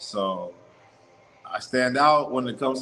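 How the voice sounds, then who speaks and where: Noticeable background noise around a man's voice at a medium pitch. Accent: American. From US South. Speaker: travel vlogger. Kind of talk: casual livestream monologue. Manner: animated.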